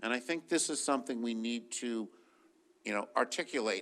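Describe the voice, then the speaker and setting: Loud and bright, with a sharp tone, a man speaks at a moderate pace. His pitch is medium, with ordinary pitch variation. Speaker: physicist and research funder. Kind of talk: panel discussion.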